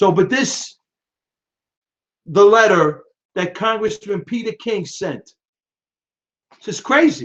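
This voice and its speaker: With a New York accent, a man talks in a high pitch and an animated tone. He leaves long, frequent pauses. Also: lively intonation. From New York (Brooklyn). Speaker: political live-stream host. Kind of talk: live-stream commentary. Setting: live video stream. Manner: fast.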